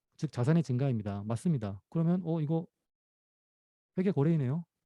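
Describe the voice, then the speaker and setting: Over a quiet background, a man speaks at a fairly high pitch with a dark, mellow tone. His pitch swings very widely. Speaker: professor. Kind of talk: lecture. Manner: fast.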